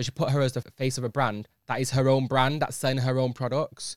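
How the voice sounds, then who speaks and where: Someone speaks with a Manchester accent in a dry, close recording that has no echo. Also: man, very clean recording, silent background. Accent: Manchester (Mancunian) English. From northern England (Manchester). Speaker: podcast host. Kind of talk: casual chat. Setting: studio.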